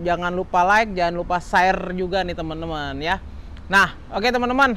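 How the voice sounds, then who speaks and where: Talking at a fairly quick pace, a man speaks with a high pitch. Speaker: used car salesman and video host. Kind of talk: casual sales review. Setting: outdoors at car lot, filming a walkaround. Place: garage.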